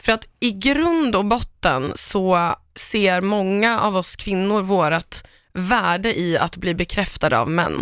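In a very clean recording with a silent background, a woman of medium pitch speaks at a very slow pace with lively intonation. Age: 30s. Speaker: entertainment editor and podcaster. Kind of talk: casual chat.

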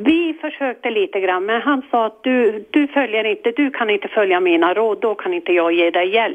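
Her pitch is fairly high, with very wide pitch swings. The woman speaks with hardly any pauses. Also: moderate pace. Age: 60s. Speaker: caller with fear of the dark. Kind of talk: phone-in advice call.

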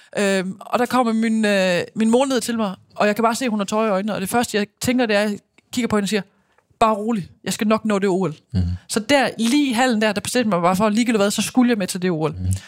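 Very fast speech from a woman, fairly high in pitch, the intonation fairly even. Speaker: former handball player and TV pundit. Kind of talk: casual interview.

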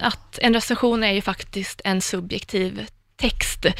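Captured in a very clean recording with a silent background, a woman talks at a fairly slow pace. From Värmland, Sweden. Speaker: music journalist and critic. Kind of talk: casual chat.

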